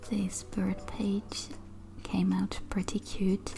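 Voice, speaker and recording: A woman with a non-native accent, music playing in the background. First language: not English. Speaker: artist. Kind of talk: sketchbook tour narration.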